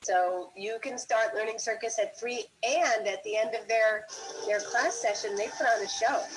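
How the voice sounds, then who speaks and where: A woman with an unremarkable speaking voice talks at a fairly high pitch and a fairly slow pace. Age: 60s. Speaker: circus school founder. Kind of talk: interview answers. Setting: livestream.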